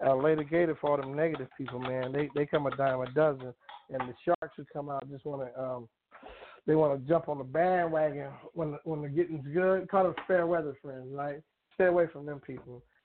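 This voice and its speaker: A man with a fairly high pitch has an unremarkable speaking voice and talks at a fairly quick pace. His intonation stays fairly even while his loudness swings a lot. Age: 50s. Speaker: comedian and actor. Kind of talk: casual interview.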